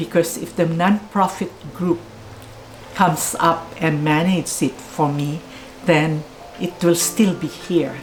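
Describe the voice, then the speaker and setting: The woman's pitch is fairly low and her intonation fairly even. She speaks at a fairly slow pace with long, frequent pauses over noticeable background noise. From Philippines. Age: 80s+. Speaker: bookshop owner. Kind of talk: interview.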